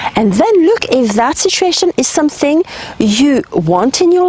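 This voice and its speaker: The voice has very wide pitch swings. Noticeable background noise can be heard. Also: woman. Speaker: spiritual healer and guide. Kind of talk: advice monologue to camera. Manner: conversational, with fillers.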